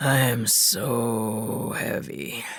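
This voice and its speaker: A man uses a put-on character voice that is raspy and medium in pitch. An audible echo surrounds his speech. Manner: slow, drowsy.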